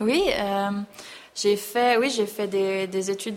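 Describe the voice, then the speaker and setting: A woman speaks with fairly even intonation. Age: 30s. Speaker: show jumping rider. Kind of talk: interview. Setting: on location at a stable.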